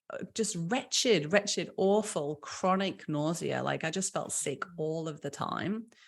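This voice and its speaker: Medium-pitched woman with a British accent at a fairly slow pace, on a very clean recording with a silent background. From UK. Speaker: small business founder. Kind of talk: podcast interview.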